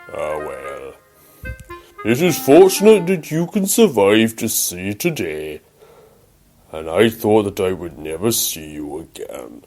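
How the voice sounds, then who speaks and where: A man puts on a cartoonish character voice at a medium pitch, talking at a fairly slow pace with long, frequent pauses while faint music plays in the background. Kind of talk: fan-made animated story dialogue.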